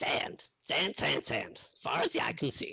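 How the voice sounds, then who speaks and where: A raspy, put-on character voice. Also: man. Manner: put-on animal voice.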